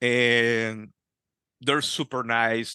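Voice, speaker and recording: A man with a Spanish accent speaks at a medium pitch in a bright, sharp tone. The sound is dry and close with no echo, over a quiet background. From Peru. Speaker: Freemason. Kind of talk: interview. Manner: halting.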